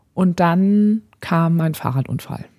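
Fairly low-pitched and somewhat breathy, a woman speaks in a dark, mellow tone with ordinary pitch variation. The sound is dry and close, with no echo. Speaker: podcast co-host. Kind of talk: casual chat.

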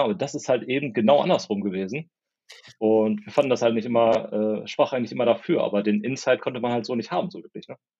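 A man's dark, mellow voice at a very fast pace. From northern Germany, East Westphalia (Porta Westfalica). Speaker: tech company founder. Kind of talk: interview.

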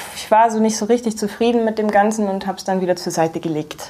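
With fairly even intonation, a woman's voice rests at a medium pitch. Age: 30s. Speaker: graphic designer and illustrator. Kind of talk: casual interview. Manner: hesitant, many filler sounds.

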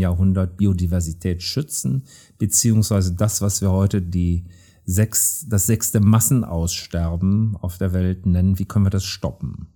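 With a dark, mellow tone that is somewhat breathy, a man speaks at a fairly slow pace with ordinary pitch variation in a very clean recording with a silent background. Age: 60s. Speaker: professor of anthropology. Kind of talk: interview.

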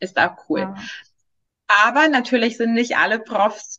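A woman with a Greek accent speaks fairly slowly in a high voice with ordinary pitch variation. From Greece. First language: Greek (speaking German). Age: 20s. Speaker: law trainee. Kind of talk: interview. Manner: hesitant, many fillers.

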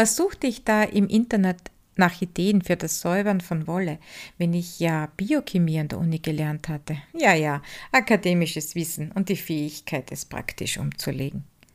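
A woman's normal speaking voice, fairly low in pitch, at a moderate pace with ordinary pitch variation, on a very clean recording with a silent background. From Styria, Austria (Upper Styria). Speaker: podcast host, wool spinner and craftswoman. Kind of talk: scripted narration.

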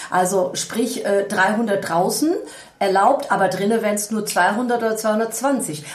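A woman's medium-pitched voice at a very slow pace with ordinary pitch variation, audible room echo and noticeable background noise. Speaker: podcast co-host, event organizer. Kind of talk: casual chat. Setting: informal setting over coffee, not a studio.

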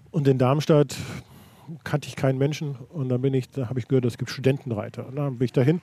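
A man talks very fast at a medium pitch, his intonation fairly even. His tone is dark and mellow, and somewhat breathy. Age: 60s. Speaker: equestrian federation president. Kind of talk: interview. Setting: in-person meeting. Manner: halting, frequent repetitions.

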